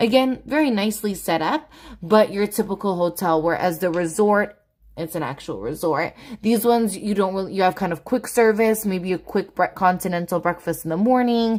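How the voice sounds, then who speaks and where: A woman's plain, everyday voice, medium in pitch, with ordinary pitch variation and a moderate pace. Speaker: family travel vlogger. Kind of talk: live Q&A stream. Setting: livestream from home.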